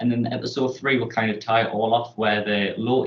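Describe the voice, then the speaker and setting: This man has a northern English accent. His intonation is flat and monotone. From northern England. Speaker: student presenting a TV pitch. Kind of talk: presentation pitch.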